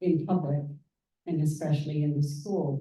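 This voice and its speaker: A woman speaks with a somewhat breathy, dark and mellow tone. There is audible room echo around her voice. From Southeast Alaska. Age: 70s. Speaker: Tlingit family member giving a presentation. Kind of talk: public presentation, personal family history. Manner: halting, with fillers.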